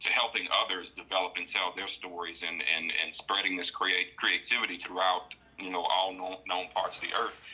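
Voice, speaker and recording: A moderately paced male voice amid noticeable background noise. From New Orleans, Louisiana. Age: young. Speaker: independent filmmaker. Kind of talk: casual interview chat.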